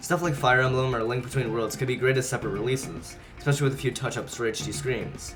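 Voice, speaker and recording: Over music in the background, the speech runs at a very fast pace with fairly even intonation. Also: man, medium pitch for a man. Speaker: gaming video creator. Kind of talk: gaming commentary voiceover.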